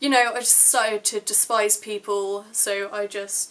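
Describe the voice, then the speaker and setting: Speaking fairly slowly with an English accent, a woman keeps a flat monotone at a medium pitch. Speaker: vlogger. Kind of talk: personal vlog. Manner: casual.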